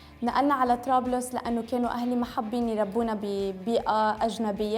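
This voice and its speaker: A woman speaks moderately fast at a fairly high pitch, her intonation monotone and flat, with noticeable noise in the background. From France, then Tripoli, northern Lebanon. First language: French (speaking Arabic). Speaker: beauty vlogger. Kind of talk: casual vlog talk to camera. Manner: code-switching Arabic and English, halting.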